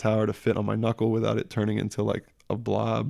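The tone is dark and mellow. The delivery comes at a fairly quick pace. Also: man. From New York City, partly Baltimore. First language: French. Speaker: skateboarder with many tattoos. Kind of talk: casual chat.

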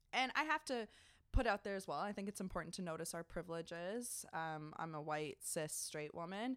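Very clean recording, silent background, and a woman with a plain, everyday voice. She speaks at a moderate pace with a fairly low pitch and lively intonation. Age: young. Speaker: podcast co-host. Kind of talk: casual chat. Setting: public library room.

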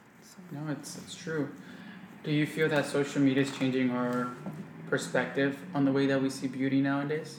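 A man with an American accent talks at a moderate pace in a fairly high pitch, his intonation monotone and flat, with noticeable background noise. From US. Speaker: podcast host. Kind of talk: casual interview. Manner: casual.

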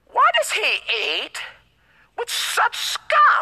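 Doing a put-on character voice, a woman squeaks at an extremely high pitch. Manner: snooty, bougie.

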